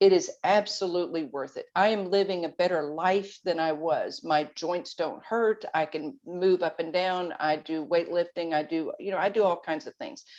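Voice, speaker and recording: In a normal speaking voice, a woman talks at a moderate pace with a fairly low pitch, ordinary pitch variation and hardly any pauses against a quiet background. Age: 60s. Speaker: guest on health podcast, weight loss advocate. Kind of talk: podcast interview.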